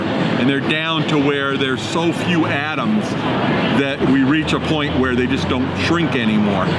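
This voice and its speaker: The speech comes at a moderate pace, with audible room echo and music in the background. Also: man. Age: 60s. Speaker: futurist and keynote speaker. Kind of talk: interview. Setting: outdoors in a park.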